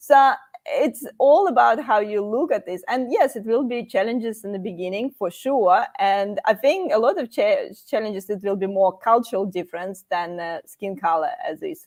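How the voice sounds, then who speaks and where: In a strong Russian accent, a woman talks at a fairly high pitch with lively intonation, big swings in loudness and hardly any pauses. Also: moderate pace. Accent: heavy Russian. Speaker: career channel host. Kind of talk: live panel discussion.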